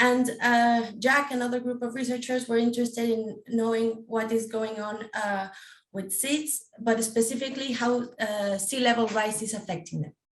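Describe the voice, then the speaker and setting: With a non-native accent, a woman speaks at a fairly high pitch. Her pace is moderate and her intonation fairly even. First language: not English. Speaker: PhD researcher. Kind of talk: panel presentation. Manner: halting, many fillers.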